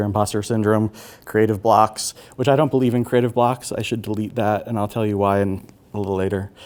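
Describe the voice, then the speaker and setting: The speaker is a man. He has an American accent. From Irish American family, US. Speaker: artist and therapist giving a talk. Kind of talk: lecture. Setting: auditorium with audience. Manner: hesitant, many fillers.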